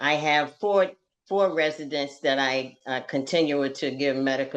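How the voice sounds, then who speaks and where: Over a quiet background, a woman with a very deep, low pitch speaks at a fairly slow pace. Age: 60s. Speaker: community activist. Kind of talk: interview. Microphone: dropped connection.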